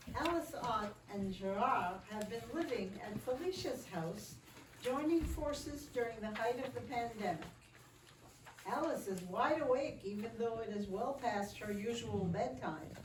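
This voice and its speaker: Over noticeable background noise, a woman with a fairly high pitch speaks fairly slowly with lively intonation. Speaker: narrator. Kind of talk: reader's theater narration.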